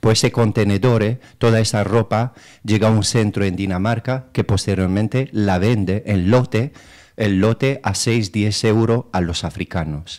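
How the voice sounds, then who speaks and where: Against a quiet background, a man with a Romanian accent speaks at a fairly low pitch. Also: fairly even intonation, fairly slow pace. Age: 30s. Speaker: local political candidate. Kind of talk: radio interview. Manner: hesitant, many fillers. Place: studio.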